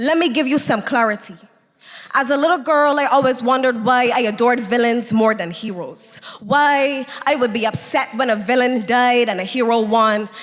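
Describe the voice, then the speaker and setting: Over music in the background, a woman speaks in a high voice with an intense tone at a moderate pace. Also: ordinary pitch variation. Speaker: spoken word poet. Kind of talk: spoken word poetry performance. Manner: emotional, intense.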